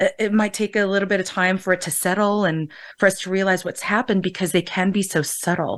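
Against a quiet background, a woman with an American accent talks fairly quickly at a medium pitch in a flat monotone. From United States, Filipino family. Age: 50s. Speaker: cultural psychologist and college professor. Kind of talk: panel discussion.

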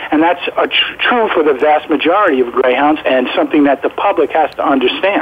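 A man talks with an American accent at a fairly quick pace. His intonation is lively. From New York. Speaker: former greyhound trainer and online greyhound resource. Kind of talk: interview, informative conversation.

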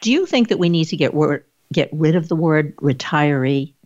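With lively intonation, a woman with a fairly low pitch speaks at a moderate pace in a normal speaking voice. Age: 60s. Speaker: talk show host and social worker. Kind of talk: interview.

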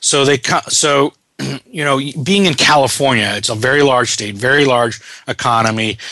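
A man speaks in an unremarkable speaking voice at a moderate pace. His pitch variation is ordinary. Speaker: radio host. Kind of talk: radio interview, host. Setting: radio show. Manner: conversational, welcoming.

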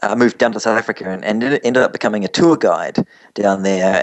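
A man speaks in a medium pitch with a New Zealand accent. His pitch moves in an ordinary way. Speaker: travel company founder. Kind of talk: radio interview. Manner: halting, repeats words.

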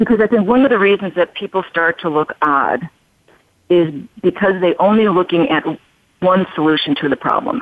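A woman with an American accent and an unremarkable speaking voice talks at medium pitch and a moderate pace. Her intonation is lively, and her loudness stays very even. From Chicago, US Midwest. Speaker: plastic surgeon. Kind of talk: interview.

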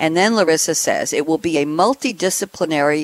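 In a dry, close sound with no echo, a woman speaks with a fairly low pitch and lively intonation. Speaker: radio host. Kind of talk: moderated radio panel discussion. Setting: live radio show. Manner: enthusiastic, animated.

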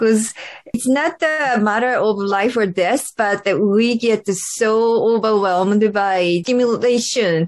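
Speaking at a fairly slow pace with a Japanese accent, a woman uses a fairly high pitch and ordinary pitch variation. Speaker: podcast host, myofascial therapist. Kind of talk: interview. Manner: animated.

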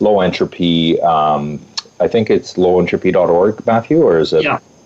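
Here a man speaks at a moderate pace. There is noticeable background noise. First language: not English. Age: 30s. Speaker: youth program facilitator. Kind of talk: radio interview.

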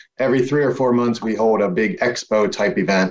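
A man speaks at a moderate pace. He has an ordinary speaking voice at medium pitch. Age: 60s. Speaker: networking event organizer. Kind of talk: casual chat.

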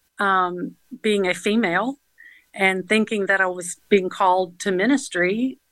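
A woman speaks in a Southern US accent. Her recording is dry and close, with no echo. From US South, Georgia (Atlanta area). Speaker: nonprofit founder. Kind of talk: interview.

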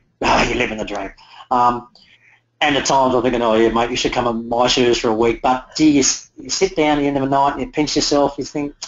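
Male speaker with an Australian accent, fairly quick pace and ordinary pitch variation. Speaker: motorcycle tour business owner. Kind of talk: interview. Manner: halting.

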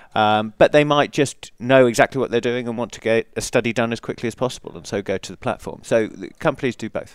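A man with an English accent talks at a very fast pace, his loudness swinging widely. The recording is very clean, with a silent background. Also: medium pitch for a man, ordinary pitch variation, hardly any pauses. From England. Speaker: company founder and CEO. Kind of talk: casual interview. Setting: conference interview, live broadcast.

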